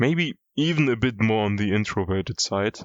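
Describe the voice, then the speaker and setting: A man with a non-native accent, fairly low pitch and a moderate pace. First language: not English. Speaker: YouTuber. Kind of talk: personal vlog monologue. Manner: casual.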